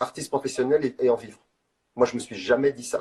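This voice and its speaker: A man is speaking. His pace is fairly slow. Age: 60s. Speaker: street artist. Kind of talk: interview. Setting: live video call. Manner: halting.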